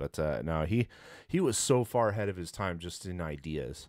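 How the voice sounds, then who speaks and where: At a moderate pace, a man with an American accent speaks in a very deep, low pitch, the sound dry with no echo and the background quiet. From California, San Jose; California. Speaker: podcast host. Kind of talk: casual chat. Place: studio. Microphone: studio mic.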